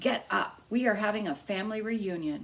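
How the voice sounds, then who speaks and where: In a put-on character voice, a woman speaks raspily at a medium pitch and a moderate pace. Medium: read story. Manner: warm, motherly.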